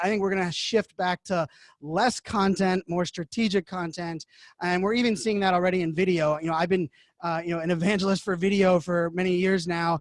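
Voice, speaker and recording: Loud and fairly quick, a man with a high pitch keeps a fairly even intonation in a dry, close sound with no echo. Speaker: digital media evangelist and keynote speaker. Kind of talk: interview. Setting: remote from home. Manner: fast. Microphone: studio podcasting microphone.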